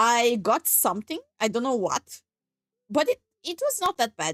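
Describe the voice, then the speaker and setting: A woman speaks at a high pitch. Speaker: vtuber streamer. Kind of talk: casual chat. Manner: halting, many repetitions. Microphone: new Shure microphone.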